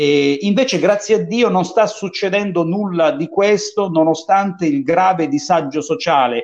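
A man speaks at a high pitch with lively intonation. He goes at a fairly slow pace but leaves hardly any pauses. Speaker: talk show host. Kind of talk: casual interview talk show. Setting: video call.

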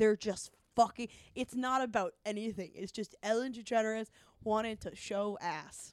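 A woman with a fairly high pitch speaks in a normal speaking voice, keeping a moderate pace and fairly even intonation. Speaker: comedy podcaster. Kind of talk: casual chat.

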